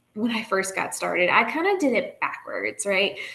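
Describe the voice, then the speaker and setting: At a fairly slow pace, a woman talks with a fairly high pitch. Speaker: online business coach. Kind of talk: live stream talk. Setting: live stream on social media. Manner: casual, some stumbling.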